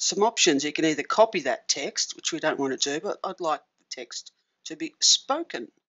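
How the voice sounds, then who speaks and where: A woman with an Australian accent speaks at a moderate pace in a fairly low voice, her intonation lively. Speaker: tech tutorial presenter. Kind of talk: tutorial. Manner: casual with frequent fillers.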